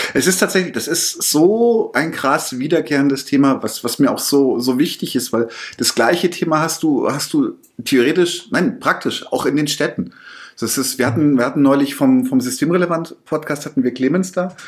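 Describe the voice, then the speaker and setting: This man has an unremarkable speaking voice, fairly high in pitch, moving at a moderate pace with ordinary pitch variation. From Bavaria. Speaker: podcast host, interviewer. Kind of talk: interview. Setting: office room.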